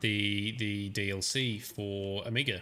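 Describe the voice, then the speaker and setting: A man's bright, sharp voice, fairly low in pitch, with a strong Australian accent. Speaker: gaming streamer. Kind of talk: live gameplay commentary. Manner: casual, thinking aloud.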